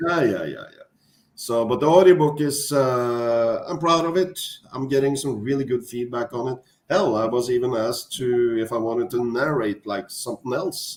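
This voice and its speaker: This man talks with a Norwegian accent, his volume rising and falling sharply. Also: medium pitch for a man, ordinary pitch variation, moderate pace. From Norway. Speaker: author. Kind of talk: casual chat. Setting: livestream. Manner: halting.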